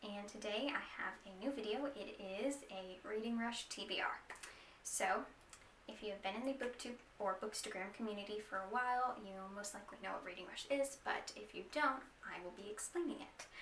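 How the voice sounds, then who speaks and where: Amid noticeable background noise, a woman with a fairly high pitch speaks at a moderate pace with ordinary pitch variation. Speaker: book vlogger. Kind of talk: casual talk to camera. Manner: hesitant, some stuttering.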